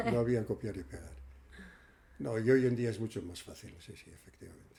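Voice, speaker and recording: With a dark, mellow tone, a somewhat breathy man speaks at a fairly quick pace and a medium pitch, his intonation lively and his loudness swinging widely. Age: 80s+. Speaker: radio presenter and senior centres coordinator. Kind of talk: interview. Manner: halting.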